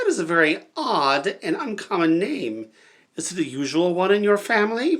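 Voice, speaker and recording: At a middle pitch, this put-on character voice moves at a moderate pace. It keeps a steady moderate tempo throughout. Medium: read story.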